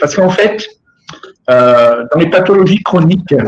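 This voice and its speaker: Lively intonation from a fairly high-pitched man at a moderate pace. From southern France. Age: 60s. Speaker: former smoker and patient association member. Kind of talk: webinar testimony. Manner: halting, with many repetitions.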